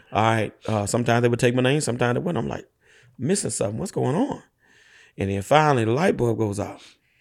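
Very fast, lively intonation in an American accent. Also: man, medium pitch for a man. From rural Louisiana, East Feliciana Parish. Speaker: dump truck business owner. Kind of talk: interview conversation.

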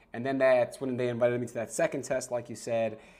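A man speaks with a New York accent. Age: 30s. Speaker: sportscaster. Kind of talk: casual chat.

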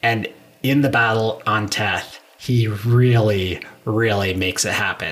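A man speaks in an ordinary speaking voice at a fairly slow pace, with a medium pitch and fairly even intonation. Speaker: podcast host. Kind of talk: casual chat.

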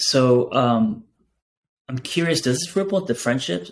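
Lively in intonation, a man speaks in a normal speaking voice at a moderate pace and medium pitch. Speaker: podcast host and therapist. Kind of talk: podcast interview.

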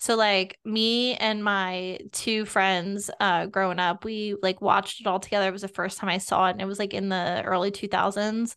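Delivery is monotone, with flat intonation, at a moderate pace. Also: woman, medium pitch for a woman, hardly any pauses, quiet background. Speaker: podcast co-host. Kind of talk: casual chat.

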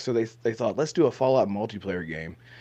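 This man's voice has vocal fry against a quiet background. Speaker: gaming content creator, podcaster. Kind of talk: casual podcast chat.

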